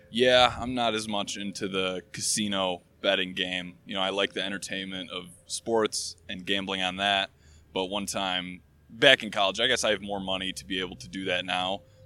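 Very clean and set against a silent background, the recording has a man with an American accent and a very deep, low pitch speaking at a moderate pace with fairly even intonation. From Michigan. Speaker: software engineer. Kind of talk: casual chat. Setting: outdoors.

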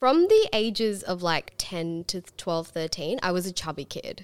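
A woman with an Australian accent, medium pitch and a fairly slow pace. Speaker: podcast host. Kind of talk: casual interview.

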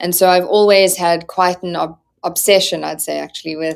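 The speaker is a woman. Her voice sits at a fairly low pitch. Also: very clean recording, silent background. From South Africa. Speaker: startup founder and CEO. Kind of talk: interview.

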